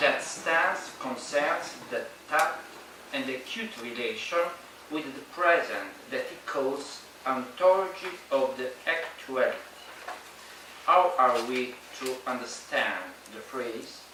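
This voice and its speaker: A man with a Neapolitan accent speaks at a very slow pace, with long, frequent pauses and a fairly high pitch. His loudness swings widely and his pitch varies in an ordinary way, with audible room echo and noticeable background noise. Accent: Italian (Neapolitan) accent in English. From Italy, Naples. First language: Italian. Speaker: philosopher. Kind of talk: lecture read aloud.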